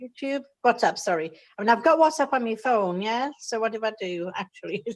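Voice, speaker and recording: A woman's normal speaking voice at fairly high pitch, with lively intonation and big swings in loudness. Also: fairly quick pace. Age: 60s. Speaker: new participant. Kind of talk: video call group meeting. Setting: video call.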